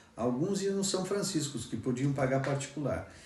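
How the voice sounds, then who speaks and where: A man's fairly high voice, lively in intonation, at a moderate pace amid audible room echo. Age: 60s. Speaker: former student. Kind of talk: testimony. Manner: halting, repeats words.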